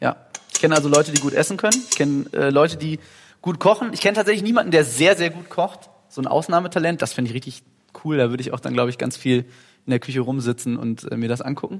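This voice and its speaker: A man races along very fast with lively intonation. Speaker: rock singer. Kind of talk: casual chat. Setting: recorded while cooking in a kitchen.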